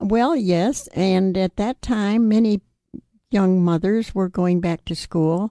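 At a very slow pace, a woman speaks in a dark, mellow tone. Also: medium pitch for a woman, ordinary pitch variation, dry, close sound with no echo. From New York State. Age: 80s+. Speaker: widow and remarried retiree. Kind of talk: interview reminiscence.

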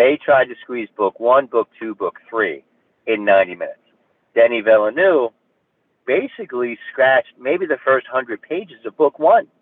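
A man speaks at medium pitch with a New Jersey accent. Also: moderate pace. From New Jersey, Hudson County. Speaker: actor. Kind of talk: interview.

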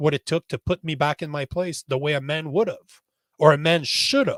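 A man with a Canadian accent uses an ordinary speaking voice at a fairly high pitch. The recording is dry and close with no echo, very clean, with a silent background. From Canada. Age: 40s. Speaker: social media strategist and podcaster. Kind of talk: interview.

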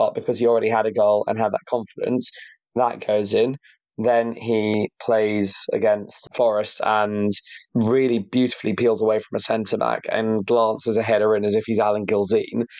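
A man's medium-pitched voice at a moderate pace, flat and monotone in intonation. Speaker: football podcast co-host. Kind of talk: casual chat.

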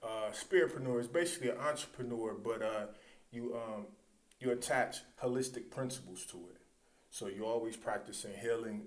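The speaker has an American accent and a fairly quick pace. There is audible room echo. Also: man. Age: 40s. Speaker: author and martial artist. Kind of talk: casual interview. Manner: halting.

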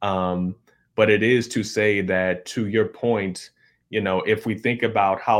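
In a very clean recording with a silent background, a man with an American accent talks fairly slowly in a monotone, flat delivery. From US Midwest, suburban Chicago. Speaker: history professor. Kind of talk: interview, academic explanation. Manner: hesitant, many fillers (um, right?).

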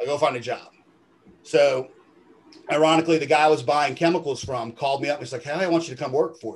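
Breathy to a degree, a man with a fairly high pitch talks at a very fast pace. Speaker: detailing business owner. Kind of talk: interview.

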